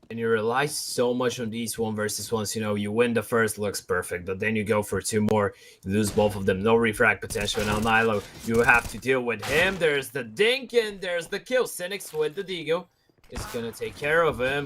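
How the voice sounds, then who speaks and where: A man with a slight Bulgarian accent speaks at a medium pitch, with ordinary pitch variation and a bright, sharp tone. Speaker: esports commentator. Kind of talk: live commentary.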